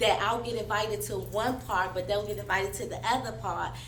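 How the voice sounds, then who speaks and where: Over noticeable background noise and audible room echo, a woman talks loudly at a very fast pace, her very deep, low voice animated in tone. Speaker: podcast panelist, hospital worker. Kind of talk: casual panel discussion.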